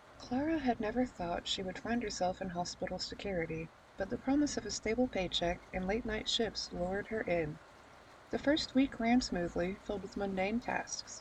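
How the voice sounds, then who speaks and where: This soft-spoken woman talks at a moderate pace. Her medium pitch shows ordinary variation. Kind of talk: horror story narration.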